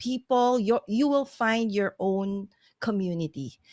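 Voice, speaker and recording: With a Filipino accent, a woman speaks at a fairly slow pace and ordinary pitch variation, in a very clean recording with a silent background and a dry, close sound with no echo. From Philippines. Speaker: live streamer. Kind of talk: casual chat.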